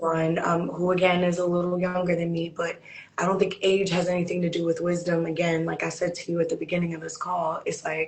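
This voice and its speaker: A woman speaks at a fairly quick pace with an American accent. Her pitch is fairly low and her intonation is monotone and flat. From South Carolina. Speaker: poet and artist. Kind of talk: casual interview chat. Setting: call. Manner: fast.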